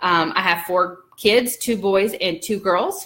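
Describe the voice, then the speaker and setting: A woman with a Southern US accent speaks at a very slow pace. She has a medium pitch and ordinary pitch variation. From US South. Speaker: birth doula and vlogger. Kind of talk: casual vlog chat. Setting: at home folding laundry. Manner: chatty, many fillers.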